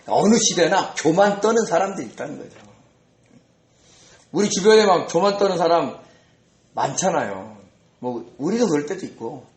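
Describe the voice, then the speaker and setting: A man speaks with vocal fry. Room echo is audible. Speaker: pastor. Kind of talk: sermon. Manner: conversational, rhetorical questions.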